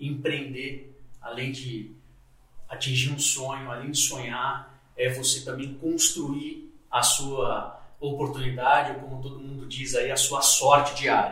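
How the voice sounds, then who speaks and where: A man talks in a flat, monotone way, his loudness swinging widely. Noticeable background noise and audible room echo surround him. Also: fairly slow pace. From São Paulo city, Brazil. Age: 40s. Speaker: logistics executive. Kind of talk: casual interview chat.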